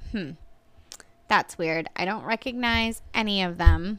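This woman has a normal speaking voice, moving at a moderate pace with ordinary pitch variation. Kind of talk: casual chat.

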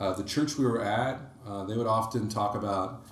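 There is audible room echo as a man with a fairly low voice talks at a moderate pace with fairly even intonation. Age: 30s. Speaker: electrical engineer and church small-group co-leader. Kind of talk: casual interview about faith.

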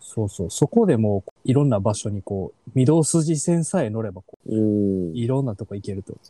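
A man with an Osaka accent, medium pitch, dark, mellow tone, lively intonation, a moderate pace, big swings in loudness, and a dry, close sound with no echo. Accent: Osaka Kansai dialect. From Osaka city, Japan. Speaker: podcast host. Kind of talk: casual chat.

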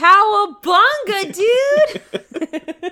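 This woman uses a put-on character voice pitched extremely high. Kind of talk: casual, surfer slang. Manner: goofy, exaggerated.

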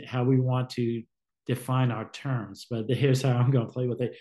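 A man's medium-pitched, somewhat breathy voice, dark and mellow in tone, flat and monotone, with an American accent. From Southern California. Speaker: guest speaker on faith. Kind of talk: casual conversation. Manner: halting, repeats words.

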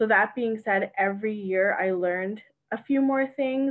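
With a Canadian accent, a woman talks at a moderate pace in an unremarkable speaking voice with fairly even intonation. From Canada, Mississauga. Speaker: realtor and investor. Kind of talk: interview.

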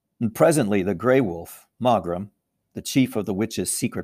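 A natural voice reads aloud while the background stays quiet.

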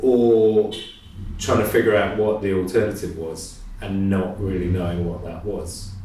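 A man's fairly low voice at a fairly slow pace, with big swings in loudness, audible room echo and noticeable background noise. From English Midlands. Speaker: painter. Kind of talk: casual chat. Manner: hesitant, many ums.

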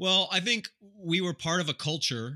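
With an American accent, a man speaks in a bright, sharp tone with a dry, close sound and no echo. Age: 40s. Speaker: TV show host and outdoorsman. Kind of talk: casual chat. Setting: video call.

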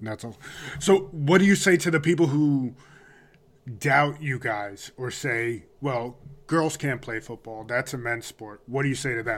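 A normal speaking voice at a fairly slow pace, with big swings in loudness and ordinary pitch variation. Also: man, medium pitch for a man. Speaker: podcast host. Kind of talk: interview. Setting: studio.

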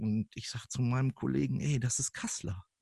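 A somewhat breathy man with lively intonation, in a dry, close sound with no echo. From northern Germany, Lippe (Kalletal). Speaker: podcast guest. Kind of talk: casual chat. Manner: animated.

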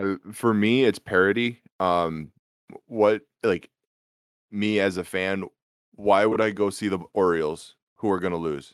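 Leaving long, frequent pauses, a man with an American accent speaks at a fairly low pitch with fairly even intonation, on a very clean, silent-background recording with a dry, close sound and no echo. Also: fairly slow pace. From Minnesota. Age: 20s. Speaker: podcast host. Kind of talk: casual sports chat.

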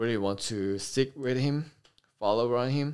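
A man with a Korean accent, medium in pitch, at a fairly slow pace. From South Korea, Incheon. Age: 20s. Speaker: military air traffic controller. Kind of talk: casual chat. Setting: in-person recording with camera. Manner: halting.

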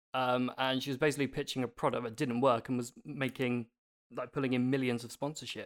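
A man with a British accent speaks at a medium pitch and a fairly quick pace, monotone and flat, in a very clean recording with a silent background. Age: 30s. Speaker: podcast co-host and celebrity interviewer. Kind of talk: casual chat.

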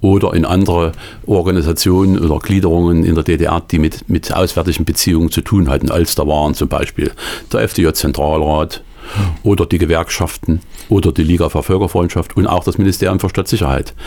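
At a moderate pace, a man speaks with fairly even intonation in a very deep, low pitch. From Thuringia, eastern Germany. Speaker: author and former diplomat. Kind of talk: radio interview. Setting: radio studio. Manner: halting.

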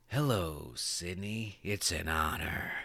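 Doing a put-on character voice, a man sounds raspy with a very deep, low pitch. He speaks at a fairly slow pace. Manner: menacing, taunting, politely creepy.

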